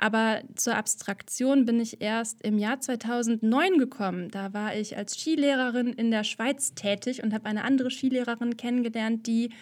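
Fairly high-pitched woman's voice, an unremarkable speaking voice, with fairly even intonation and a moderate pace. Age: 30s. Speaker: artist and podcaster. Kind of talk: casual interview. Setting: video call.

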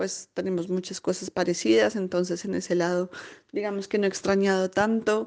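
A woman's dark, mellow tone, with fairly even intonation at a moderate pace against a quiet background. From Colombia. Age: 30s. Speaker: emigrant finance professional. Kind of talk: interview testimony.

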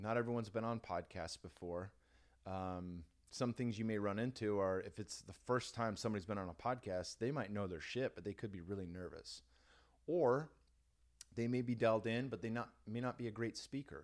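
A man's fairly low voice, an ordinary speaking voice, at a fairly quick pace with ordinary pitch variation, on a very clean recording with a silent background. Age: 30s. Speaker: former mixed martial artist and podcast host. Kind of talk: casual interview. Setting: studio.

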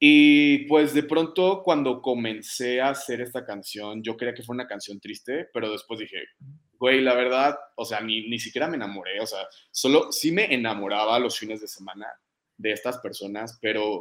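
A man with a plain, everyday voice speaks at a moderate pace and medium pitch, with ordinary pitch variation and big swings in loudness. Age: 20s. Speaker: singer and fitness influencer. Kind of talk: casual interview.

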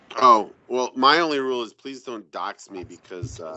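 Mumbling at a moderate pace, a man speaks with big swings in loudness. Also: medium pitch for a man, ordinary pitch variation. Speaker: podcast panelist.

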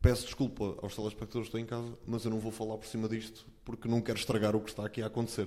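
Talking at a very fast pace, a man uses a medium pitch and a dark, mellow tone. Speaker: sports commentator. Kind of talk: casual chat.

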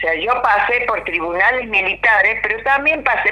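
A woman speaks at a fairly slow pace with a fairly high pitch and lively intonation. Noticeable background noise runs behind her. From Argentina. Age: 60s. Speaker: former political prisoner and university dean. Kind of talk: radio interview testimony.

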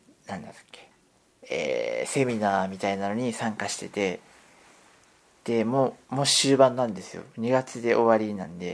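A man talks at a moderate pace and medium pitch, with ordinary pitch variation and big swings in loudness. Noticeable background noise runs underneath. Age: 50s. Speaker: podcaster. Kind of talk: casual monologue. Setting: at home. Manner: hesitant, rambling with fillers.

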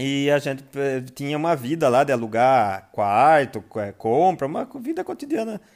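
Lively intonation marks a man's normal speaking voice at a fairly high pitch. The recording is very clean, with a silent background. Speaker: brewery founder and podcast host. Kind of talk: casual monologue.

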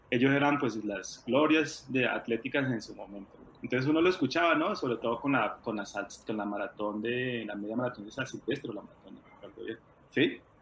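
Amid noticeable background noise, a man speaks at a moderate pace and medium pitch, his loudness swinging widely. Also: ordinary pitch variation. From Colombia, rural Tolima. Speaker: former track athlete and coach. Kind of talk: interview.

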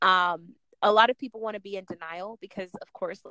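A woman with an American accent speaks at a moderate pace in a medium pitch, her tone bright and sharp, the sound dry and close with no echo. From Jamaica. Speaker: podcast host. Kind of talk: casual chat.

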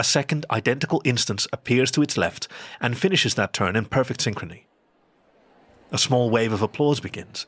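An unremarkable speaking voice with lively intonation moves at a fairly quick pace, in a very clean recording with a silent background and a dry, close sound with no echo. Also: man, medium pitch for a man. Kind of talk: literary audio drama narration.

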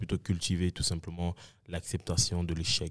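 This man speaks with a very deep, low voice. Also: dry, close sound with no echo, very clean recording, silent background. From Montreal, Quebec (Saint-Michel). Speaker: entrepreneur. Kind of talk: casual chat.

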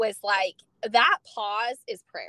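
A woman with an American accent speaks in a bright, sharp tone, the sound dry and close with no echo. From California. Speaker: nutrition coach. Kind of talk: interview.

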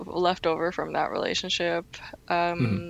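A woman talks in an ordinary speaking voice. Her pitch is fairly low and her pace moderate. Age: 20s. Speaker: singer and student. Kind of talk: casual interview chat.

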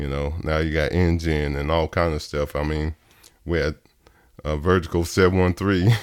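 A man speaks with a Texas accent at a very deep, low pitch. His intonation is monotone and flat on a very clean recording with a silent background. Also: moderate pace. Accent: Southern US (Texas). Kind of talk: interview.

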